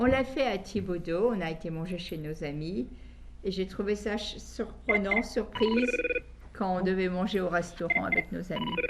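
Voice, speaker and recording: Noticeable background noise accompanies someone talking at a fairly slow pace. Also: woman, medium pitch for a woman, ordinary pitch variation. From Belgium. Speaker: guest interviewee. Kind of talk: interview on a call-in program. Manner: halting, with many hesitations.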